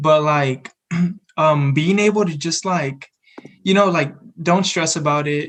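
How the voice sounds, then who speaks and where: Leaving long, frequent pauses, a man with a fairly high pitch talks at a fairly slow pace with fairly even intonation. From San Antonio, Texas. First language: Spanish. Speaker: college student podcast co-host. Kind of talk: casual chat.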